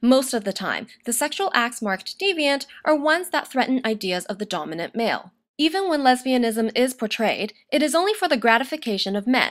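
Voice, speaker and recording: On a very clean recording with a silent background, a woman with a high pitch speaks at a fairly quick pace with hardly any pauses and very wide pitch swings. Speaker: university student. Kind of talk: academic video essay narration. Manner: fast.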